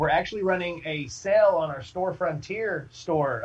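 With an American accent, a man talks at a moderate pace in an unremarkable speaking voice with ordinary pitch variation. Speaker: band singer. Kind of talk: casual interview chat.

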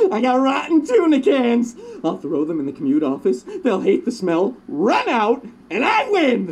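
Cackling at a moderate pace with very wide pitch swings. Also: man, extremely high pitch for a man. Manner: manic, gleeful, cackling.

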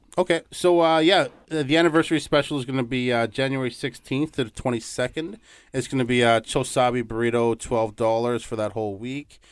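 A man with a normal speaking voice talks at a medium pitch and a moderate pace, with ordinary pitch variation. The recording is very clean, with a silent background. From Toronto, Ontario, Canada. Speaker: restaurant manager. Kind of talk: radio interview. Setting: studio.

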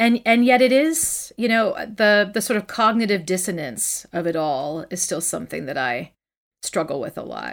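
On a very clean recording with a silent background, a woman talks at a moderate pace and medium pitch, with very wide pitch swings and vocal fry. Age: 40s. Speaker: poet and memoir author. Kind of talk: casual interview conversation.

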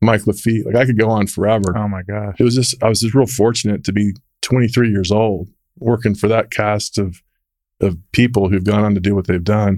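A man with an American accent talks at a fairly quick pace in a plain, everyday voice, pitched fairly low. His intonation is fairly even, and the recording is very clean with a silent background. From Texas, Dallas. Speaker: real estate executive. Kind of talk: interview. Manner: conversational.

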